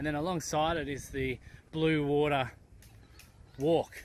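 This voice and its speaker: The sound is dry and echo-free. A man talks at a moderate pace. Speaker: travel vlogger. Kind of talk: casual vlog commentary. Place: street. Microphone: phone near.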